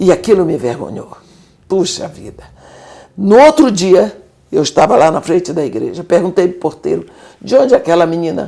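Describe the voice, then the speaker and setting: Her loudness swinging widely and her pitch ranging very widely around a medium level, a woman speaks at a moderate pace with long, frequent pauses. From Bahia, Brazil. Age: 70s. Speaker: missionary. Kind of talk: interview testimony.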